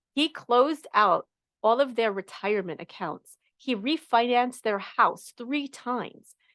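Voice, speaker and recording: With a New York accent, a woman speaks in an animated tone and lively intonation, the sound dry and close with no echo. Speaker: money coach. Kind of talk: live coaching session talk.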